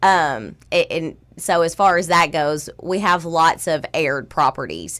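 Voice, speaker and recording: Recorded very cleanly against a silent background, a woman with a Southern US accent speaks fairly slowly at a fairly low pitch, with vocal fry and ordinary pitch variation. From South Arkansas, El Dorado. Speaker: title company owner. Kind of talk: radio interview. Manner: loud; animated.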